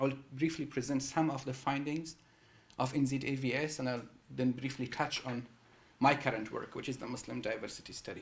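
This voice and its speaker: Amid audible room echo, a man with a medium pitch talks at a fairly quick pace, somewhat breathy and in a monotone, flat intonation. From Afghanistan. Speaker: psychology researcher. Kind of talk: public lecture. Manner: halting, many fillers and repeats.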